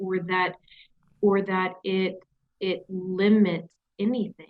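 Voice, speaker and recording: A woman speaks with a Southern US accent. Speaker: company CEO. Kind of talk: interview.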